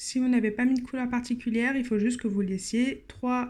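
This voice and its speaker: A woman talks in a plain, everyday voice, fairly high in pitch. Her intonation is fairly even. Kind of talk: tutorial.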